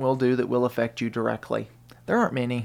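A man at a medium pitch with a Southern US accent. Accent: US South (Tennessee). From Tennessee, Murfreesboro. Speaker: radio producer. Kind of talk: casual chat. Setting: studio.

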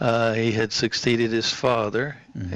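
Delivery comes at a moderate speed. It is monotone, with flat intonation. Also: man. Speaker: local historian guest. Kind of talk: casual radio interview.

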